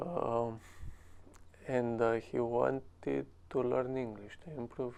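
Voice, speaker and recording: At a very slow pace, a man talks with a Romanian accent. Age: 20s. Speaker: English learner, cleaning business owner. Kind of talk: interview. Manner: halting.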